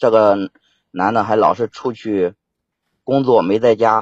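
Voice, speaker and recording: This man's medium-pitched voice shows ordinary pitch variation and unfolds at a very slow pace. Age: 30s. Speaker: caller. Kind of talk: phone-in call about a family problem. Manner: halting.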